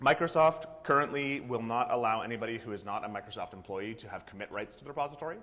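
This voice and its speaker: A man with a medium-pitched voice talks very fast, with hardly any pauses. Noticeable background noise runs underneath. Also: ordinary pitch variation, big swings in loudness. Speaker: conference speaker, software developer. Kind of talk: conference talk.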